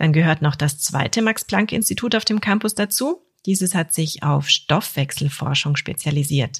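A woman speaks with a fairly low pitch and lively intonation. Her voice is somewhat breathy. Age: 40s. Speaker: podcast host. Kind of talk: scripted narration.

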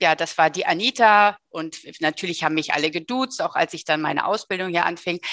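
A woman's fairly low voice with a bright, sharp tone, ordinary pitch variation, a fairly quick pace and a dry, close sound with no echo. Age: 50s. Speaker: business owner. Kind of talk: interview. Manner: hesitant with filler sounds.

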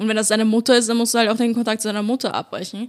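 Fairly high in pitch and fairly even in intonation, the woman speaks in a plain, everyday voice. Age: 30s. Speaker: stand-up comedian. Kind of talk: casual chat.

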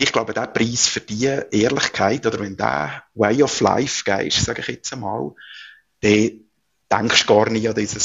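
This man speaks at a moderate pace in a fairly low pitch, with vocal fry. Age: 40s. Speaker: entrepreneur. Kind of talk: interview.

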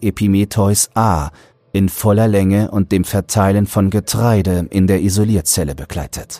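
Calm and deadpan in tone, a man speaks with fairly even intonation, the sound dry and close with no echo on a very clean recording with a silent background. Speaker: audiobook narrator. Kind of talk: dramatic horror narration. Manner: slow, calm, hushed, ominous and measured; deadpan clinical tone, building dread.

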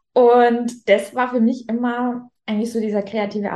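A woman speaks with a dark, mellow tone. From Upper Bavaria, Germany (Rosenheim). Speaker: Instagram business coach, former fashion influencer. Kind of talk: casual interview. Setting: video recording, also on YouTube.

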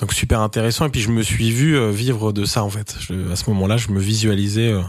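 In a very clean recording with a silent background, a man speaks in a normal speaking voice, fairly low in pitch, with fairly even intonation at a moderate pace. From France, Touraine. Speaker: record label founder and DJ. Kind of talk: casual interview.

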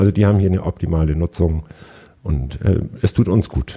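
With a very deep, low pitch and a dark, mellow tone, a man talks at a moderate pace with vocal fry and ordinary pitch variation. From northern Germany, Schleswig-Holstein. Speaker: agricultural business manager. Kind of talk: interview. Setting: in person, on location.

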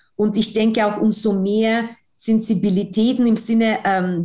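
Here a woman is talking. Her pace is fairly slow. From Ukraine. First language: Ukrainian or Russian (speaking German). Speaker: newspaper editor. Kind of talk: interview.

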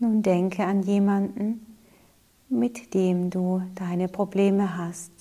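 Speaking at a very slow pace, a woman with a medium pitch uses a calm, soothing tone that is also dark and mellow, with fairly even intonation. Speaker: yoga teacher and meditation guide. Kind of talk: guided meditation. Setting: podcast recording. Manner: slow, calm, soothing, with long pauses between repeated phrases.

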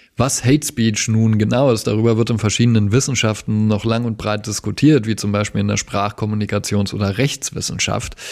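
A man with a slight Saxon accent speaks at a fairly quick pace with hardly any pauses. His pitch is fairly low and his intonation fairly even. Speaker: podcast producer. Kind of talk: scripted segment presentation.

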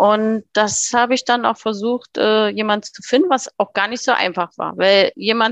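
Moderate pace and ordinary pitch variation. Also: woman. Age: 40s. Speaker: first-time pilgrim. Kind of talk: interview. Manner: hesitant, with many fillers.

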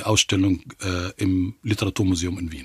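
A man with an Arabic accent is heard in a dry, close sound with no echo. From Egypt, Cairo. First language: Arabic (speaking German). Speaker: historian and political scientist, professor. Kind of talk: interview conversation. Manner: halting, frequent hesitations.

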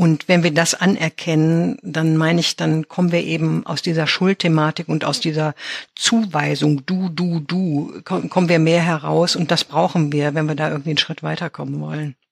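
A woman speaks at a very deep, low pitch. Her pace is moderate and her intonation fairly even. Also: dry, close sound with no echo. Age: 70s. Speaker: psychotherapist and author. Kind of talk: interview.

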